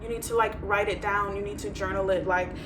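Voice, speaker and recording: Audible room echo surrounds a woman's voice. Noticeable background noise is present as well. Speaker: tarot reader. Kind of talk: tarot reading. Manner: fast; casual, filler-heavy.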